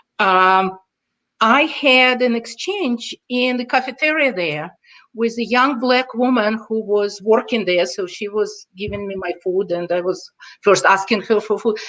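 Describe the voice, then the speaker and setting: The speaker talks at a fairly slow pace with a Russian accent. The tone is bright and sharp, with ordinary pitch variation. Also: woman. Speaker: intercultural consultant. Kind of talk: podcast interview.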